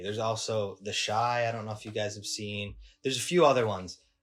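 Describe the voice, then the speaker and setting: A man speaks in a normal speaking voice at a medium pitch and a fairly quick pace. The recording is very clean, with a silent background. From Michigan, US Midwest. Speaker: cinematographer. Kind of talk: casual chat.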